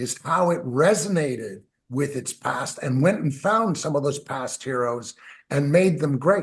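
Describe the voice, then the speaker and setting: A man with a Canadian accent speaks at a fairly high pitch, somewhat breathy. His pace is moderate and his pitch varies in an ordinary way. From Canada. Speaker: musician. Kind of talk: interview. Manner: animated.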